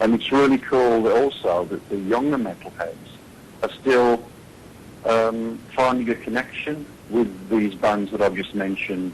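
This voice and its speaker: At a fairly slow pace, a man speaks in a plain, everyday voice at medium pitch. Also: ordinary pitch variation. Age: 60s. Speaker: heavy metal singer. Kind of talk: interview answer.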